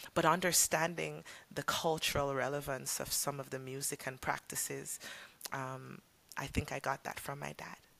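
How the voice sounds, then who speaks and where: Vocal fry runs through a woman's very deep, low voice, which has a bright, sharp tone. She speaks at a moderate pace with ordinary pitch variation. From Jamaica, rural Saint Ann. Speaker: reggae singer-songwriter. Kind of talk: interview conversation.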